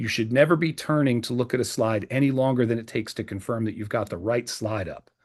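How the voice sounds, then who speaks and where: A loud man with a US Northeastern accent, medium pitch, ordinary pitch variation and a fairly quick pace. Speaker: presentation skills trainer. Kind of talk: training video. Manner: louder, clearer, enunciated; fast.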